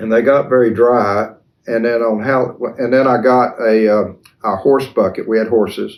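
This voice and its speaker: A man's medium-pitched voice in an Appalachian Tennessee accent, monotone and flat, at a moderate pace. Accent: Southern US (Appalachian Tennessee). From East Tennessee (Cleveland). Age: 70s. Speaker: folk character creator. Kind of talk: interview. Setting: at his home.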